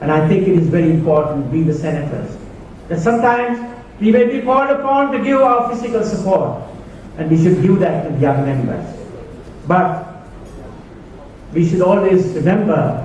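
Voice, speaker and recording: A man with a high pitch and very wide pitch swings leaves long, frequent pauses, heard with audible room echo and noticeable background noise. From Sri Lanka. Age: 60s. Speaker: keynote speaker. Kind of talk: after-dinner speech. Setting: banquet hall with audience.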